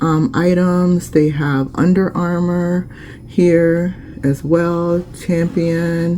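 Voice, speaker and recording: Over noticeable background noise, the speaker talks at a very slow pace in a monotone, flat intonation. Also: woman, fairly low pitch for a woman. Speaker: small business owner vlogger. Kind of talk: casual vlog tutorial. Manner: casual, many fillers.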